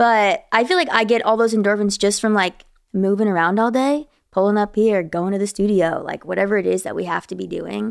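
A woman's medium-pitched voice at a fairly quick pace, ordinary pitch variation, a plain, everyday voice, on a very clean recording with a silent background. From New Jersey. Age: 20s. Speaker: singer. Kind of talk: casual interview chat.

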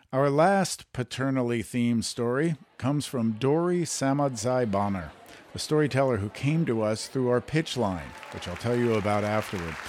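With noticeable background noise behind him, a man speaks at a moderate pace and medium pitch with lively intonation. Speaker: radio host and producer. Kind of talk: radio host introductions. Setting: studio.

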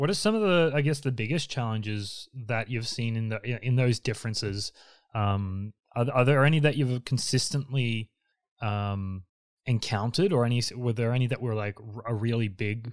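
Against a silent background in a very clean recording, a man speaks at a medium pitch and a moderate pace with ordinary pitch variation. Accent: Australian. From Queensland, Australia. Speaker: podcast host and designer. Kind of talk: interview.

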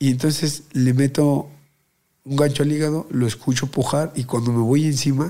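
This man talks at a moderate pace with a fairly high pitch. His intonation is monotone and flat, and his tone is dark and mellow. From Mexico City (Azcapotzalco). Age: 20s. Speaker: professional boxer. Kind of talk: casual interview chat.

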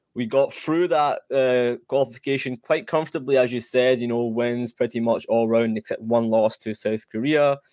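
In a Scottish accent, a man speaks at a moderate pace with hardly any pauses, medium pitch and fairly even intonation, the sound dry and close with no echo. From Iranian heritage, lives in Scotland. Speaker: soccer podcaster. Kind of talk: casual sports chat.

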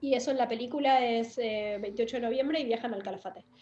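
A woman's high-pitched voice at a moderate pace. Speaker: writer and actress. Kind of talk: casual interview conversation.

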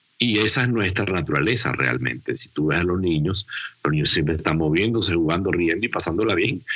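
Speaking at a fairly quick pace, a man with a very deep, low voice and vocal fry uses lively intonation. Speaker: humorist and laughter therapist. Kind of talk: casual interview.

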